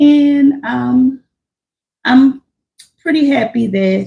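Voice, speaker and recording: This woman's voice is somewhat breathy, with a dark, mellow tone. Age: 40s. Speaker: livestreamer, warehouse worker. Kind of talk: casual live stream chat. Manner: halting.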